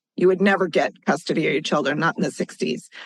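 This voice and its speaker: With an American accent, a woman uses an ordinary speaking voice at medium pitch with ordinary pitch variation. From US West Coast, California Central Coast. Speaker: financial consultant and advocate. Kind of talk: interview.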